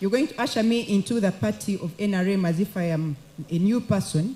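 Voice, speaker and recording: Somewhat breathy and dark, mellow in tone, a woman's voice moves at a fairly quick pace with lively intonation. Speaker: elected woman MP. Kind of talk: formal address at a party meeting. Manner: formal.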